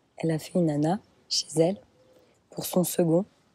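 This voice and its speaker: A dark, mellow tone at a very slow pace. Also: woman. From Brittany, France. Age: 20s. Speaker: mother sharing birth story. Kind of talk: interview. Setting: outdoors in a garden.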